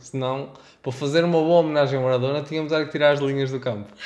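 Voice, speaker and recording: This man has a plain, everyday voice with fairly high pitch and fairly even intonation. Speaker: podcast producer and designer. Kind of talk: casual chat.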